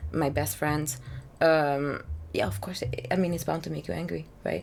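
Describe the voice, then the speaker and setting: There is audible room echo as a woman speaks at a moderate pace. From Hungary. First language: Hungarian. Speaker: singer-songwriter. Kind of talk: casual interview chat. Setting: drinking rum during chat. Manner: hesitant, many fillers.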